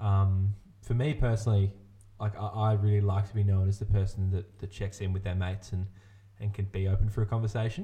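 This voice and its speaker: A man speaks fairly quickly in a fairly low, somewhat breathy voice with a dark, mellow tone. His intonation is monotone and flat. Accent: Australian. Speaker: podcast host. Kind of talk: casual chat. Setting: studio. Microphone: new sound card.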